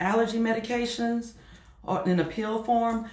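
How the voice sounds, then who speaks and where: Noticeable background noise sits under the speech, along with audible room echo. Delivery comes at a fairly slow pace. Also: woman. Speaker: YouTuber and online reseller. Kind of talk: casual vlog talk. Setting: home office.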